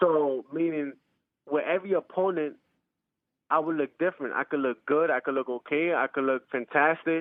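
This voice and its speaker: Speaking with a New York accent at a fairly quick pace, the voice shows ordinary pitch variation. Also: man. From New York, Bronx. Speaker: professional boxer. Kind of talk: interview. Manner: halting, repeats words.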